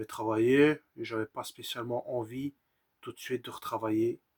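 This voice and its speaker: Medium in pitch, a man's voice moves at a moderate pace with monotone, flat intonation. The sound is dry and close with no echo. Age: 30s. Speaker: vlogger sharing personal mental health story. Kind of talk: personal testimony. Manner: halting.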